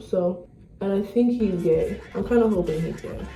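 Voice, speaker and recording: A woman with an American accent at a fairly quick pace, amid audible room echo and noticeable background noise. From South Florida, US. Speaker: vlogger. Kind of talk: casual vlog; language lesson conversation.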